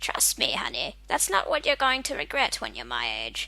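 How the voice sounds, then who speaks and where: A female-sounding voice performs a put-on character voice at a moderate pace. Light background noise sits underneath. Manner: warm, knowing, advising.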